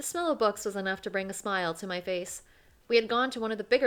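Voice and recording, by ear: Ordinary pitch variation comes through as text is read aloud in a natural voice.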